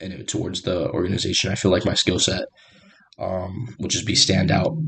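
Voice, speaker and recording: Here a man talks with a very deep, low pitch. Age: 20s. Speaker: recent graduate doing mock job interview. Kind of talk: mock job interview answers. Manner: halting, many fillers.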